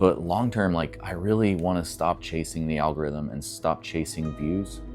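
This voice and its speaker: Music plays in the background as a man talks at a fairly slow pace. His pitch is very deep and low, with ordinary variation. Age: 40s. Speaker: vlogger. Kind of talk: casual vlog monologue. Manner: reflective, halting with fillers.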